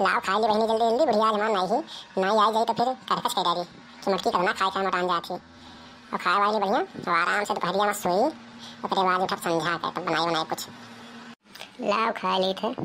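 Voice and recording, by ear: With clear background noise, a woman uses a cartoonish character voice at a medium pitch and a fairly quick pace, with ordinary pitch variation.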